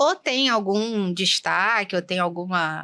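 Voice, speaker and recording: Her tone bright and sharp, a woman speaks in a very clean recording with a silent background. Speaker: endoscopist doctor. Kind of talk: interview conversation. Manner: soft-spoken.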